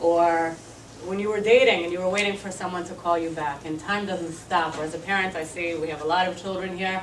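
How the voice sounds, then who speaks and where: Noticeable background noise and audible room echo fill the recording. A woman speaks at a fairly quick pace with fairly even intonation. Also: fairly low pitch for a woman. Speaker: activist. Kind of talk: speech.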